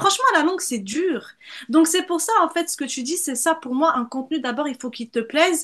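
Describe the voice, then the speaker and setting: A woman's extremely high-pitched voice at a moderate pace, with lively intonation and an animated tone. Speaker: brand strategist. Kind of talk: casual interview.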